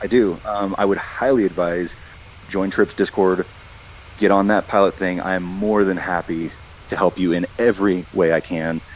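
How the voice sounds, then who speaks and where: A man's very deep, low voice with fairly even intonation, amid noticeable background noise. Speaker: airline pilot. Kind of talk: interview. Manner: fast.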